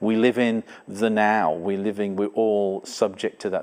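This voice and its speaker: A man speaks with an English accent. His pitch is fairly low and his intonation fairly even. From England. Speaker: church pastor host. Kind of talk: church service interview. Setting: Zoom call with guest.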